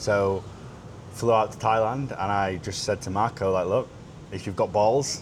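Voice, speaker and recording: This speaker has a British accent. The pace is fairly quick. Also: man. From United Kingdom. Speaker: sales consultant, podcast co-host. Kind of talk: casual chat.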